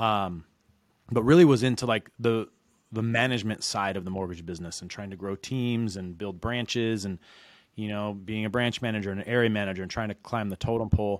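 With an American accent and a normal speaking voice, a man with a fairly low pitch talks at a fairly quick pace with fairly even intonation and big swings in loudness, in a very clean recording with a silent background. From Reno, Nevada. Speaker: mortgage loan originator. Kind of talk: interview.

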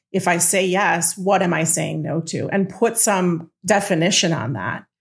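Over a very clean recording with a silent background, a woman has a plain, everyday voice, fairly low in pitch with ordinary pitch variation. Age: 40s. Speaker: executive coach. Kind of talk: interview.

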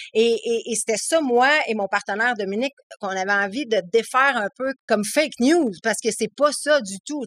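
A woman's fairly high voice with a Quebec accent, in a dry, close sound with no echo. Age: 30s. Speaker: author with ADHD. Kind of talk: casual interview. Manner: halting, many repetitions.

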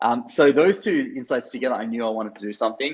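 Intonation stays fairly even as a man talks at a fairly quick pace. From Australia, Sydney. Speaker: startup co-founder. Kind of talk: interview. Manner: hesitant, many fillers.

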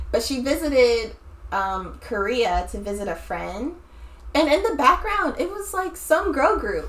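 Over noticeable background noise, a woman with a high pitch speaks at a fairly slow pace, her voice making very wide pitch swings and big swings in loudness. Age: 20s. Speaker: podcast host. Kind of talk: casual chat.

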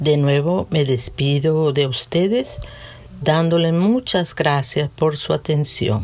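Very slow and with a warm, calm tone, a woman speaks at a very deep, low pitch, her loudness very even and her pitch variation ordinary. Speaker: podcast host and devotional reader. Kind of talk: gentle reflective reading of a children's story, then a prayer. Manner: slow, warm and tender, storyteller's pace; calm, reverent, measured.

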